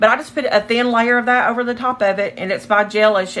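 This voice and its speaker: Noticeable background noise fills the clip. Over it, a woman talks fairly quickly. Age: 40s. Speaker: nail technician livestreaming her work. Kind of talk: casual livestream chat. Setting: home livestream.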